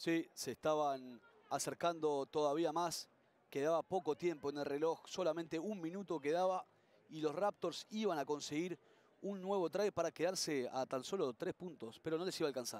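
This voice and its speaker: A man speaks at a moderate pace in a fairly high voice with ordinary pitch variation and an animated, upbeat tone, the sound dry and close with no echo. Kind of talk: sports commentary, rugby highlights voiceover. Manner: fluent, animated play-by-play, upbeat; conversational, chatty with co-commentator.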